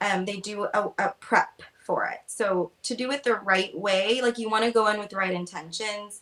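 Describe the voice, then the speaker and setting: A woman speaks at a moderate pace with hardly any pauses. Her intonation stays fairly even. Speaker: travel agent. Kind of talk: casual chat. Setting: live video stream. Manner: high energy.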